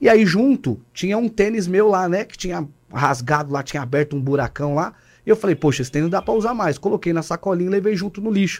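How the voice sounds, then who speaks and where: Very clean and silent in the background, the recording has a man talking very fast in a high voice with lively intonation. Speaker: pastor, podcast co-host. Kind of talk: casual chat.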